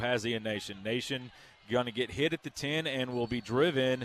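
A man with a Southern US accent, medium pitch and fairly quick pace, in a dry, close sound with no echo. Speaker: radio play-by-play announcer. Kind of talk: live play-by-play football commentary. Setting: stadium broadcast booth. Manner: rapid, clipped play-by-play bursts; excitable on big plays.

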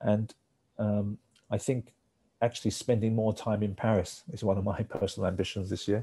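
In a very clean recording with a silent background, a somewhat breathy voice with a dark, mellow tone speaks at a moderate pace with fairly even intonation. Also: man, fairly low pitch for a man. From Hong Kong. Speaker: managing director of an industry organization. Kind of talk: interview. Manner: hesitant with fillers.

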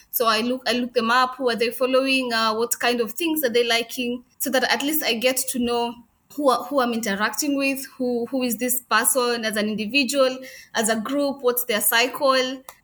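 A woman with a Kenyan accent, high-pitched and bright, sharp in tone, at a moderate pace with monotone, flat intonation. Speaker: crochet business owner. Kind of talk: interview conversation.

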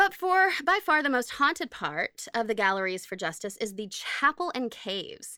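A woman's high, raised, projected voice with an American accent, very wide pitch swings, moderate pace and hardly any pauses, in a very clean recording with a silent background. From Oklahoma. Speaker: podcast co-host. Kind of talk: casual chat.

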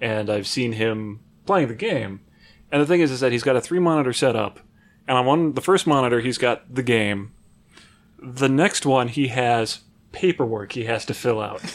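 A man with medium pitch and an ordinary speaking voice on a very clean recording with a silent background. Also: ordinary pitch variation, moderate pace. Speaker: IT worker and gamer. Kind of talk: casual chat.

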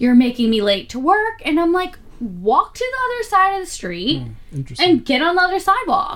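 Over noticeable background noise, a woman speaks at a moderate pace. Her extremely high pitch moves in very wide swings. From Philadelphia, Pennsylvania. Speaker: podcast co-host. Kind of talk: casual chat.

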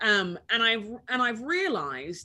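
Her pitch swings very widely as this woman speaks in a London accent. The tone is bright and sharp. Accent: British (London) English. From England, London. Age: 40s. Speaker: author and podcast host. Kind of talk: interview.

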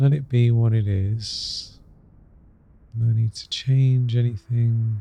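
At a very slow pace with long, frequent pauses, a man speaks in a soothing, gentle tone that is dark, mellow and somewhat breathy. His medium pitch stays monotone and flat. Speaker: meditation guide. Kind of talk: guided meditation. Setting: solo recording, podcast episode. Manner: slow, soft and soothing; gentle, repetitive, with long pauses.

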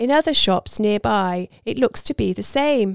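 Heard as a dry, close sound with no echo on a very clean recording with a silent background, the voice carries a warm, dramatic tone at a moderate pace. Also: woman. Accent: British. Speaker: audiobook narrator. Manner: measured, storytelling pace, warm and intimate, with light dramatic emphasis on dialogue.

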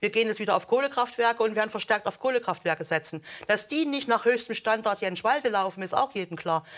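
A woman's fairly high voice, very fast, with ordinary pitch variation, on a very clean recording with a silent background. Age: 50s. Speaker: former politician and consultant. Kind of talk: heated debate.

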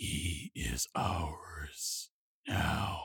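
The voice is a raspy, put-on character voice. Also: man, very deep, low pitch for a man. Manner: curt, cold, menacing.

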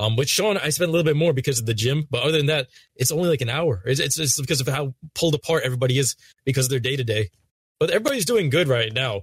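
A man with a fairly high, somewhat breathy voice speaks very fast, showing ordinary pitch variation and very even loudness. The sound is dry and close, with no echo. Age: 20s. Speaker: gaming YouTuber. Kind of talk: casual chat.

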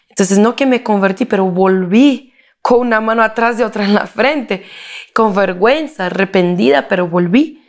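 With a Portuguese accent, a woman is speaking. Her pace is moderate. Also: medium pitch for a woman. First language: Portuguese (speaking Spanish). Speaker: political consultant and speaker. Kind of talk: interview. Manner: halting.

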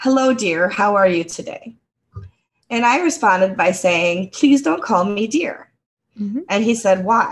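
Somewhat breathy and at a medium pitch, a woman with an American accent speaks at a fairly slow pace with lively intonation. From United States. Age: 50s. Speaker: podcast co-host. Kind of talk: casual chat.

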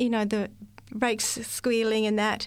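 A woman with an Australian accent and a fairly high pitch, in a very clean recording against a silent background. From Australia, rural central New South Wales. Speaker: receptionist. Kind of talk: testimony. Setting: studio.

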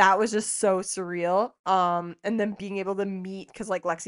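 This is a woman with a Canadian Prairie accent. Her pitch sits in the medium range. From Saskatchewan, Canada. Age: 30s. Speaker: podcast co-host, motocross rider. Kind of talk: casual chat.

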